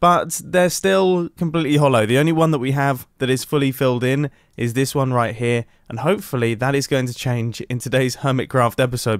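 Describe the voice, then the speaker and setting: A man talks fairly quickly at a medium pitch with ordinary pitch variation. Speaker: Minecraft YouTuber. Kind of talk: gameplay video intro. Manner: fast; animated.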